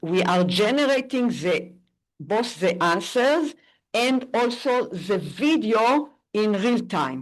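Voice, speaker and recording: Against a quiet background, a woman talks at a very slow pace in a non-native accent. Her pitch swings very widely. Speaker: AI professor. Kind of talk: conference talk. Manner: halting.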